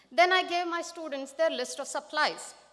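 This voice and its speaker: Raised and projected, a woman's high-pitched voice comes through with an Indian accent. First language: Marathi. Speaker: math teacher, educator of the year. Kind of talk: award acceptance speech.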